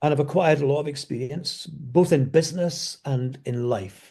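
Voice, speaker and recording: Somewhat breathy, a man speaks with a dark, mellow tone in a Scottish accent. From Scotland. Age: 70s. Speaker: business speaker. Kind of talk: interview.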